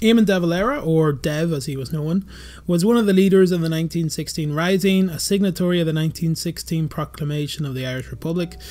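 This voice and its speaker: A man's dark, mellow voice at a fairly high pitch, very fast in pace, with ordinary pitch variation and a very clean recording with a silent background. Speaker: history YouTuber. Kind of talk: documentary narration.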